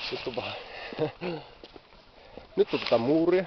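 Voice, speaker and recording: A man's voice with noticeable background noise. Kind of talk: casual travel video talk to camera. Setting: outdoors. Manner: stammering.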